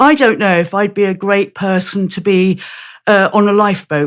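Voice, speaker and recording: The recording is very clean, with a silent background. A woman speaks at medium pitch and a moderate pace. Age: 60s. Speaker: author and campaign group founder. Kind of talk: interview conversation. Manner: halting, many repeated words.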